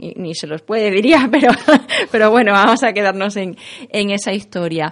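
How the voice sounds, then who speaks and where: Speaking at a moderate pace, a woman has a normal speaking voice at medium pitch with ordinary pitch variation. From Extremadura, Spain. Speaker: writer and lawyer. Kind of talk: interview.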